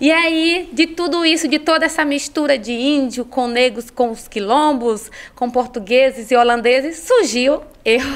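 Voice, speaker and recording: Her voice is high. This woman talks fairly slowly. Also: ordinary pitch variation. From Bahia, Brazil (Ilhéus). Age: 40s. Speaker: psychologist and women's mentor. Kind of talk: podcast interview.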